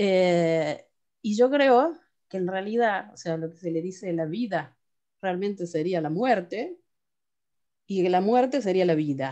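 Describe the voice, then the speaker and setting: A woman with a dark, mellow tone and a medium pitch speaks at a fairly slow pace, with long, frequent pauses. Her intonation is lively, and her loudness swings widely. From Argentina, Córdoba. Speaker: class participant. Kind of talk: casual discussion. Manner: halting.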